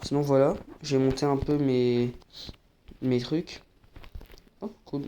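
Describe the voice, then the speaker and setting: Soft-spoken, a man talks at a medium pitch. His speech has long, frequent pauses. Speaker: gaming YouTuber. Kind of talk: gameplay commentary.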